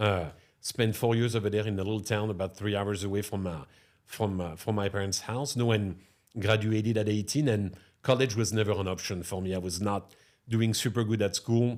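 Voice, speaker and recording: With a French accent, a man of fairly low pitch speaks at a fairly quick pace and fairly even intonation. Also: very clean recording, silent background. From France, near Chartres. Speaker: restaurateur. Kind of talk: podcast interview.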